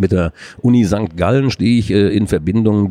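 Dark, mellow tone from a man, moderate in pace, with ordinary pitch variation. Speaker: adult education manager. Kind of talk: interview. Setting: conference exhibition booth.

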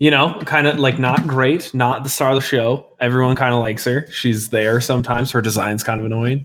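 A man speaks with an American accent at a fairly quick pace, with hardly any pauses. His medium-pitched, normal speaking voice holds a very even loudness and fairly even intonation. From Colorado. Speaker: gaming podcast co-host. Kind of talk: casual chat.

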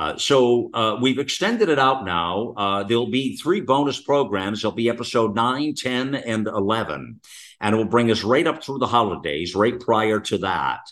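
A man with an ordinary speaking voice talks at a medium pitch. The pace is moderate and the pitch variation ordinary. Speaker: talk radio host. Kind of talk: talk radio conversation. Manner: rambling, many fillers.

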